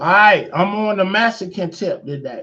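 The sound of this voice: The man's tone is fairly bright, with ordinary pitch variation.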